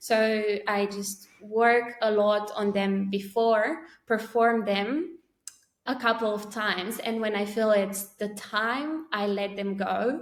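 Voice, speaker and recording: At a very slow pace, a woman with a Romanian accent speaks at a fairly high pitch. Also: ordinary pitch variation. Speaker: poet. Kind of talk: interview conversation. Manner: halting.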